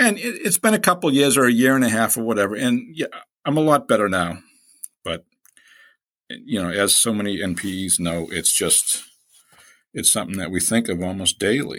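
On a very clean recording with a silent background, a man speaks fairly quickly but with long, frequent pauses. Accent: Boston. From Boston, Hyde Park. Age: 60s. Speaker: guest sharing personal story. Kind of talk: personal testimony in interview.

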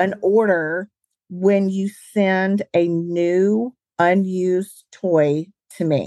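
In a dry, close sound with no echo, a woman with a Southern US accent speaks at a medium pitch in a dark, mellow tone with fairly even intonation. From Alabama, US South. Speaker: charcuterie business owner. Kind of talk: casual interview chat.

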